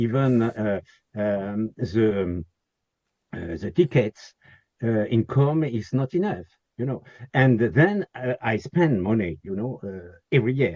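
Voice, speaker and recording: A man with a French accent and a dark, mellow tone speaks at a very slow pace in a dry, close sound with no echo. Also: medium pitch for a man, lively intonation. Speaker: historic castle owner. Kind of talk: webinar Q&A. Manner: halting, many fillers.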